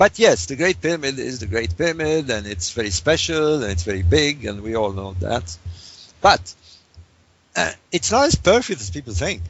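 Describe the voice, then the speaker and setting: A man with a medium pitch talks at a moderate pace, his voice making very wide pitch swings. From Egypt. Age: 60s. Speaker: author and researcher. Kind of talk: interview. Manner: halting.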